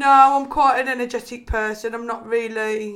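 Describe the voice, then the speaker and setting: Delivered in a Liverpool accent, the speech is monotone and flat at a moderate pace. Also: woman. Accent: Scouse. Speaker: personal trainer and former swimming teacher. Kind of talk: casual chat. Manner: chatty, laughs often.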